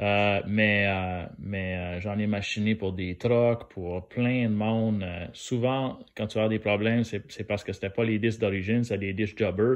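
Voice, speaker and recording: A man in a strong New Brunswick accent, fairly slow in pace with hardly any pauses and fairly even intonation. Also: fairly low pitch for a man. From New Brunswick, Canada (Acadian). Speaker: DIY car maintenance youtuber. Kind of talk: tutorial. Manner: hesitant, many fillers; casual.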